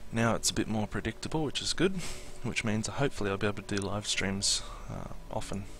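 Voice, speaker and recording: Very fast speech in an Australian accent, with ordinary pitch variation. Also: man, fairly low pitch for a man. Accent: Australian, milder than expected. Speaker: Minecraft streamer. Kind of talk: live stream tutorial chat. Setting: live stream. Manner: casual, hesitant with many fillers.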